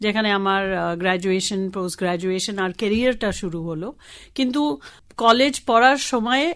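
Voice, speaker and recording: A woman with a Tamil accent and a medium pitch, on a very clean recording with a silent background. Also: ordinary pitch variation. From Kolkata, India (Tamil family). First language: Tamil (speaking Bengali). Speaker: sustainable development professional. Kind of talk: radio interview.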